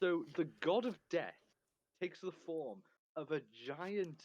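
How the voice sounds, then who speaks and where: A man speaks in a Welsh accent. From Wales. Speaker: stream co-host. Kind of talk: casual chat.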